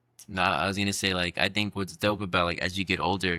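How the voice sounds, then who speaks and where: Heard on a very clean recording with a silent background, a man with an American accent speaks at a fairly low pitch in a bright, sharp tone. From US, North Carolina. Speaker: podcast co-host. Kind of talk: casual chat.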